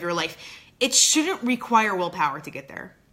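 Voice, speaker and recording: A woman speaks over noticeable background noise. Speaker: performance coach. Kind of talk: motivational video talk. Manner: halting, many fillers.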